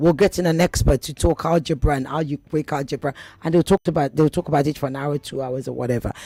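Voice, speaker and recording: On a very clean recording with a silent background, the speech comes at a very fast pace in an animated tone. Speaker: radio personality. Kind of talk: radio talk show interview.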